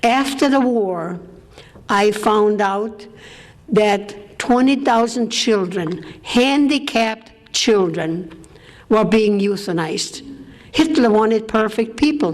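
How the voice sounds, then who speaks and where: Speech comes at a very slow pace with very even loudness and ordinary pitch variation, amid noticeable background noise and audible room echo. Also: woman, fairly high pitch for a woman. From Austria. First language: German. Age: 80s+. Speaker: war survivor speaker. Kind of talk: testimony.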